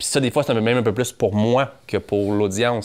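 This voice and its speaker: A man with a Quebec accent speaks at a fairly quick pace on a very clean recording with a silent background. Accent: Québécois French. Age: 30s. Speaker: entrepreneur and podcaster. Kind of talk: casual interview conversation.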